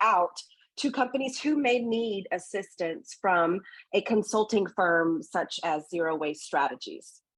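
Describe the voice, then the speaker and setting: A medium-pitched woman with a Texan accent, fairly slow, with lively intonation. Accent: Texan American English. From Southeast Texas, Gulf Coast. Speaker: founder of an environmental consulting firm. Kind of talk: podcast interview.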